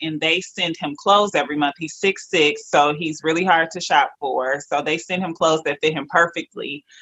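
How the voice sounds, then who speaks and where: An energetic American-accented voice with ordinary pitch variation. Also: woman. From Detroit, Michigan. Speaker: entrepreneur. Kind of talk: interview.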